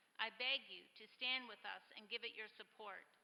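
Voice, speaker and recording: Speaking at a moderate pace, a woman keeps her high pitch fairly even. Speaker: housing nonprofit co-founder. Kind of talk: public comment at city council. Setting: city council chamber.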